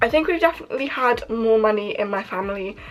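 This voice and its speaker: A woman with a British accent and a high pitch talks at a fairly quick pace with lively intonation over noticeable background noise. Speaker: YouTuber. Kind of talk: casual vlog chat.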